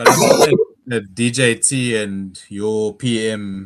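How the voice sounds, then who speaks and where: The speaker talks with a South African accent and fairly even intonation. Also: man. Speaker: stream participant. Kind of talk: casual chat.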